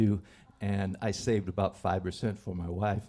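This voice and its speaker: This man has an American accent. His pitch is fairly low. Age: 70s. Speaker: storyteller. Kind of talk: live storytelling. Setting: stage with audience. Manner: halting.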